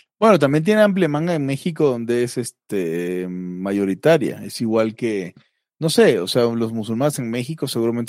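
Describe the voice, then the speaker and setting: A man with a Mexican accent, lively intonation and a moderate pace, on a very clean recording with a silent background. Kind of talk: casual chat.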